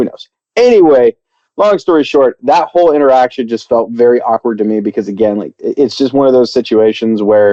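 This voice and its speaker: This man has a medium pitch and talks at a fairly quick pace in an animated tone with lively intonation. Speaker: podcast host, father and military veteran. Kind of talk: casual chat.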